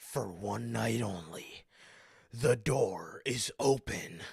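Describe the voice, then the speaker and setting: A man talks very slowly in a put-on character voice, raspy and medium in pitch. The delivery is very slow throughout. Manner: dramatic, portentous.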